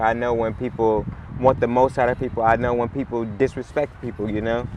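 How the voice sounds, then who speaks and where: Against noticeable background noise, the voice moves at a moderate pace with monotone, flat intonation. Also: man. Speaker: rapper. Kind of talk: casual chat.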